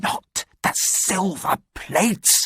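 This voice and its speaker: Whispering and growling in a put-on character voice, a man sounds anxious, the sound dry and close with no echo. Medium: read story. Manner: whispering, anxious.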